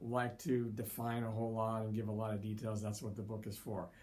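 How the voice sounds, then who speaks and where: A man speaks with a fairly low, dark, mellow voice in a monotone, flat way. Audible room echo surrounds him. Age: 60s. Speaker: college psychology instructor. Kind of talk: lecture. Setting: recorded online lecture. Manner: hesitant, filler-heavy; varying pace, sometimes slow.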